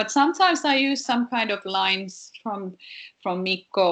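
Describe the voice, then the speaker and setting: A woman with lively intonation against a quiet background. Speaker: singer and songwriter. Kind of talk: interview. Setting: video call. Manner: halting, many repetitions.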